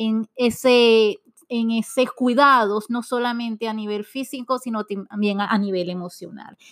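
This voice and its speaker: A woman with a normal speaking voice and fairly even intonation. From Venezuela. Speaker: podcast host. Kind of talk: scripted intro narration; interview.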